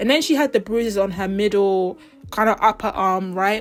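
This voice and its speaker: A woman with a British accent, medium pitch and fairly quick pace, music in the background. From Britain. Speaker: pop culture YouTuber. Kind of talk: casual commentary vlog. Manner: chatty, fast.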